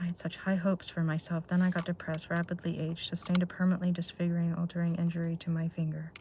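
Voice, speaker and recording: At a very fast pace with hardly any pauses, a woman speaks in a fairly low, flat monotone. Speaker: live streamer. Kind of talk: casual chat. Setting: in a car.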